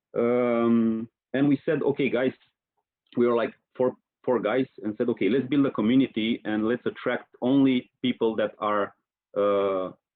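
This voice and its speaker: A man with a Romanian accent and a medium pitch. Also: moderate pace. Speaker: marketing professional, online community leader. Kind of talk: podcast interview. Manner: hesitant, many fillers.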